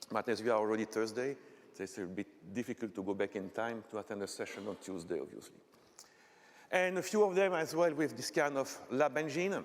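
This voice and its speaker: With a Belgian French accent, this fairly quick speaker's pitch swings very widely. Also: man. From Belgium, French-speaking part. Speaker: technical conference speaker; conference presenter. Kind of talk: lecture. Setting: stage with audience. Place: hall.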